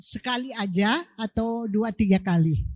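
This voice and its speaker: Somewhat breathy, a woman's voice has a dark, mellow tone and lively intonation. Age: 70s. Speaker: audience member asking a question. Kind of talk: audience question.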